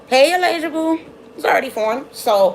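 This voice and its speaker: Against noticeable background noise, a woman speaks in an animated tone with lively intonation. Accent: American. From Brooklyn, New York. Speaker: tarot reader. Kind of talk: live-stream tarot reading. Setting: live stream. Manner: fast.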